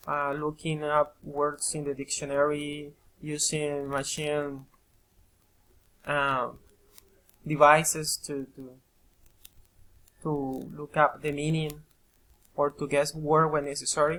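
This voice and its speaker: A bright, sharp tone in a Colombian accent, very slow and monotone, with long, frequent pauses and big swings in loudness. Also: man, fairly high pitch for a man. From Colombia, Caribbean coast. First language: Spanish. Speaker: English student and part-time teacher. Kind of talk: recorded self-presentation for a course. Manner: halting, many repetitions.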